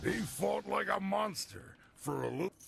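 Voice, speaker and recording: A man performs a raspy, put-on character voice. It has a fairly high pitch and a moderate pace. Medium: video game. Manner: gruff, blunt.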